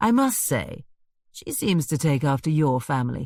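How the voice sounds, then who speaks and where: A put-on, drawling character voice from a man, fairly high in pitch, with lively intonation and a moderate pace. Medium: read story. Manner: drawling, sardonic.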